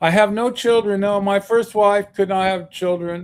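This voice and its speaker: The voice belongs to a man. The recording is very clean, with a silent background. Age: 60s. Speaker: activist and author. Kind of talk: interview. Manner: halting, many fillers.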